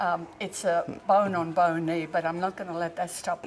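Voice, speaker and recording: Over noticeable background noise, a woman with an Australian accent talks at a fairly low pitch in a monotone, flat intonation. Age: 80s+. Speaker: fitness class participant. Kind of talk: interview.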